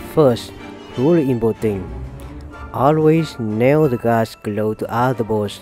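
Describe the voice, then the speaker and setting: Music plays in the background as a man speaks at a very slow pace with long, frequent pauses. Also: medium pitch for a man, ordinary pitch variation. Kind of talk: humorous voice-over commentary on fail compilation.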